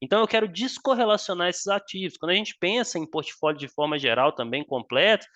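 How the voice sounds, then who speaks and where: A man talks at a fairly quick pace, his pitch swinging very widely. The sound is dry and close, with no echo. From Minas Gerais, Brazil. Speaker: finance exam tutor. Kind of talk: live online class solving exam exercises. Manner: casual, filler-heavy explaining.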